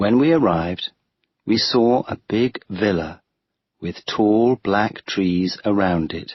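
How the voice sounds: Against a quiet background, someone reads in a natural reading voice.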